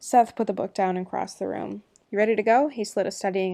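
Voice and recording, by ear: Aloud reading in a natural voice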